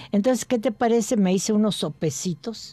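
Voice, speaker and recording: A woman speaks at a moderate pace with a dark, mellow tone. The sound is dry, with no echo at all. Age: 80s+. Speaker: gourmet association member and home cook; radio food show host. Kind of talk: casual chat; recipe demonstration. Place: studio.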